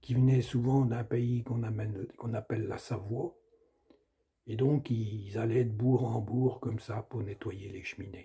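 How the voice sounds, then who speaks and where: Very slowly and with a Sarthe accent, a man speaks at medium pitch in a somewhat breathy, dark, mellow tone. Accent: Sarthe rural dialect. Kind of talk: storytelling, folk tale narration.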